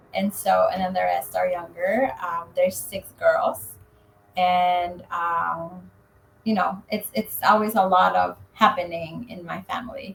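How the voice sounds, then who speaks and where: Her loudness swinging a lot, a woman speaks at a fairly slow pace with a Spanish accent. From Mexico, Zacatecas. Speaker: real estate agent. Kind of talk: interview.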